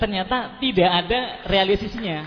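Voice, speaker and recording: Over noticeable background noise, a man speaks at a moderate pace in a voice pitched high for a man. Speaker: local resident at town hall meeting. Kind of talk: public speech at community dialogue.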